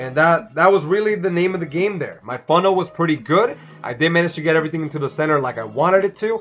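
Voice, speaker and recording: Music plays in the background as a man with a Spanish accent speaks very fast in a high pitch. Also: ordinary pitch variation, hardly any pauses. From Dominican Republic. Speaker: gaming streamer. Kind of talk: live gameplay commentary. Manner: casual, filler-heavy.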